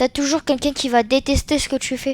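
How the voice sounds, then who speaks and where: Over music in the background, a woman speaks in a high voice at a moderate pace. Her tone is animated. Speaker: gaming youtuber. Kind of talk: casual chat to viewers; gameplay commentary. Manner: halting.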